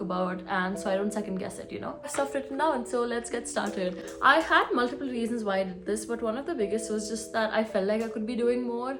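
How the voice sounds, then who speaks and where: The speech comes at a very fast pace with lively intonation. Music plays in the background, and there is audible room echo. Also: woman. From India. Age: 20s. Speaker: artist and content creator. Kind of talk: casual vlog.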